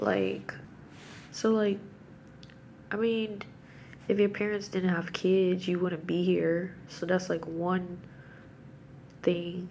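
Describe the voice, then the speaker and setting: A woman's very slow speech, with audible room echo. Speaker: religious vlogger. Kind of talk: casual monologue on scripture. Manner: halting.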